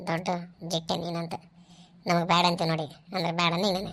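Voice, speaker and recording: In a cartoonish character voice, a woman talks fairly slowly at a fairly low pitch with monotone, flat intonation. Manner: direct, warm.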